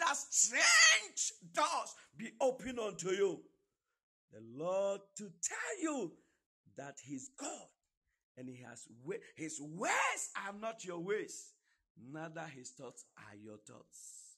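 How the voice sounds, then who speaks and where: A man projects a raised voice at a high pitch, with a bright, sharp tone and very wide pitch swings. His delivery is very slow, with big swings in loudness and long, frequent pauses. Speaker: minister leading prayer. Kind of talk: prayer. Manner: fervent.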